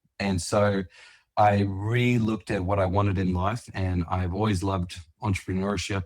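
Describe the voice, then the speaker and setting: With an Australian accent, a man speaks at a fairly low pitch and a moderate pace. His intonation is monotone and flat. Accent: Australian, noticeable. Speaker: landscaping business owner. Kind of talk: interview.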